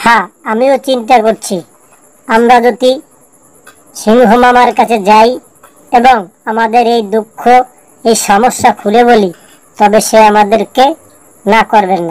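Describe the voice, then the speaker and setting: A female-sounding, put-on character voice, fairly high in pitch, at a moderate pace. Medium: read story. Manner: polite, deferential.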